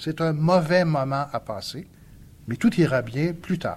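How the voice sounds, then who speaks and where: This man's voice sits at a fairly high pitch and sounds somewhat breathy. He talks at a moderate pace. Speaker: sociologist and essayist. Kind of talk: public lecture.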